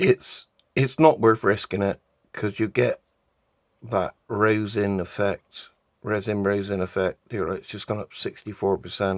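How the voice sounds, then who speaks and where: A man with a British accent speaks at a fairly slow pace in a fairly low pitch, with fairly even intonation. The very clean recording has a silent background and a dry, close sound with no echo. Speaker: resin art hobbyist. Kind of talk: tutorial. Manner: casual.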